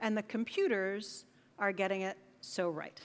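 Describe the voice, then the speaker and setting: A woman with an American accent talks at a fairly slow pace in a bright, sharp tone. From United States. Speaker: conference keynote speaker. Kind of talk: conference talk. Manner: casual, conversational.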